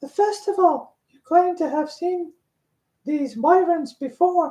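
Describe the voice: In a put-on character voice, a female-sounding speaker talks at a fairly slow pace, squeaky and extremely high in pitch.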